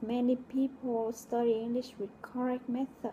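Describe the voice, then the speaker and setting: This is a woman with a high voice. She speaks at a moderate pace. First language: Vietnamese. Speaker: logistics coordinator, English learner. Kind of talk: reading aloud a personal essay.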